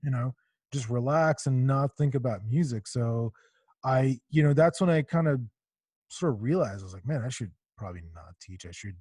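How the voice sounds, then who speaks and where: Somewhat breathy and dark, mellow in tone, a man speaks at a medium pitch and moderate pace with lively intonation and big swings in loudness, the sound dry and close with no echo. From Israel. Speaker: podcast host, musician. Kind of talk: casual chat. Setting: video call.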